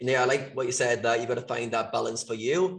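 A man's voice comes through somewhat breathy. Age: 30s. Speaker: podcast co-host. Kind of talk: interview.

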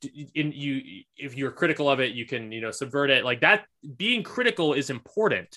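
The voice has a bright, sharp tone and a moderate pace. The background is quiet. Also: man, fairly high pitch for a man. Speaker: podcast host. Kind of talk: casual conversational interview.

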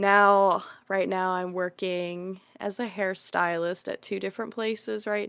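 An unremarkable speaking voice talks at a fairly slow pace, its sound dry and close with no echo, in a very clean recording over a silent background. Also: woman. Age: 20s. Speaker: podcast co-host and hairstylist. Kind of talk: casual chat.

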